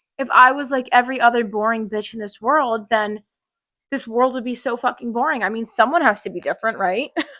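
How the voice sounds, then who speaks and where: Bright and sharp in tone, a woman with a high pitch speaks at a fairly quick pace with an animated tone, ordinary pitch variation and big swings in loudness, on a very clean recording with a silent background. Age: 20s. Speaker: podcast host. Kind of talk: casual chat.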